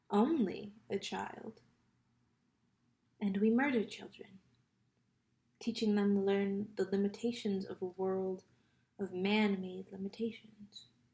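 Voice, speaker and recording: A woman with a dark, mellow tone and a somewhat breathy, medium-pitched voice speaks at a very slow pace with fairly even intonation and long, frequent pauses. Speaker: poetry reader. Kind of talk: reading aloud.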